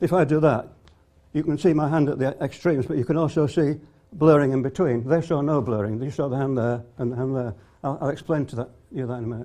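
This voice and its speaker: Very fast-talking man with a fairly high pitch and a dark, mellow tone. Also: ordinary pitch variation. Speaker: conference speaker. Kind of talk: lecture.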